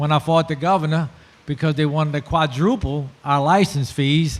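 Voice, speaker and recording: A man with a South Louisiana accent talks at a moderate pace. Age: 60s. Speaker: shrimper and oyster farmer. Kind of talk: panel discussion. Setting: festival panel with audience.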